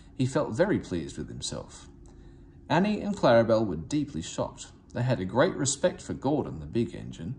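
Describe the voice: Speaking at a moderate pace, a man with a fairly low pitch makes very wide pitch swings in a slightly mellow tone.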